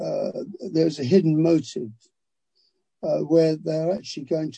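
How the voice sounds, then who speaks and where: The man's tone is dark and mellow, with a somewhat breathy quality. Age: 80s+. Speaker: author. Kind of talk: interview. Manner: halting.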